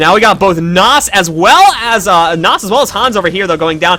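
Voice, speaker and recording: Over noticeable background noise, a man talks at a very fast pace. His voice is high-pitched, with very wide pitch swings. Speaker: esports tournament caster and organizer. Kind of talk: live commentary. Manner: animated.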